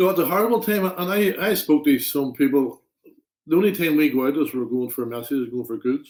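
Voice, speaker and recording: A man with a Derry accent, fairly high-pitched, with lively intonation at a fairly quick pace. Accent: Northern Irish (Derry). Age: 60s. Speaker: interview guest, public figure. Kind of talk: casual interview.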